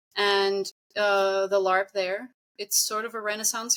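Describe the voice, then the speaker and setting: A woman with a non-native accent, her tone bright and sharp, in a dry, close sound with no echo. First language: not English. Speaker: singer and game vocalist. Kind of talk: casual chat.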